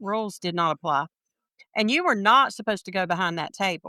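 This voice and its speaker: A woman's bright, sharp voice in a Southern US accent, medium in pitch, at a moderate pace with ordinary pitch variation, on a very clean, silent recording with a dry, close sound and no echo. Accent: Southern US (Georgia). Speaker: sports fan. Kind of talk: casual chat.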